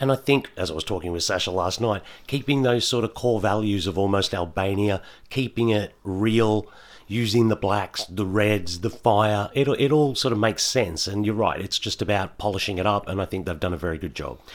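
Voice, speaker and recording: On a very clean recording with a silent background, a man talks at a moderate pace in a fairly low pitch. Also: ordinary pitch variation. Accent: Australian. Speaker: podcast co-host. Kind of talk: casual chat.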